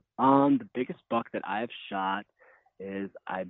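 Ordinary pitch variation marks a man's unremarkable speaking voice as he talks with an American accent at a fairly slow pace. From northern Wisconsin. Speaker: hunter and article writer. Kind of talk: personal testimony in interview.

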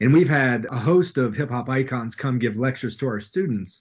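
Someone with an Appalachian accent talks at a fairly quick pace with ordinary pitch variation. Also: man. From West Virginia. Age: 30s. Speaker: professor. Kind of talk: interview. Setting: video call.

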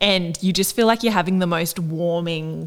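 Delivered at a moderate pace, the speech has fairly even intonation and comes in an Australian accent. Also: woman. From Australia (Northern Rivers, NSW). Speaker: podcast co-host. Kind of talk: casual interview chat.

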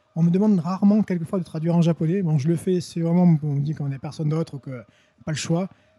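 A man's very fast, high-pitched speech with a dark, mellow tone and fairly even intonation. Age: 40s. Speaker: French teacher and translator. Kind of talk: casual interview. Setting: indoors, in person.

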